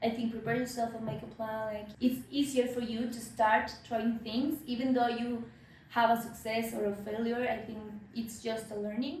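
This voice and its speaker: Against noticeable background noise and audible room echo, a woman with a Spanish accent speaks at a moderate pace in a fairly high pitch with fairly even intonation. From Mexico. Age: 30s. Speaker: fashion business consultant. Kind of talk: interview. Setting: at her home. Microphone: poor sound quality.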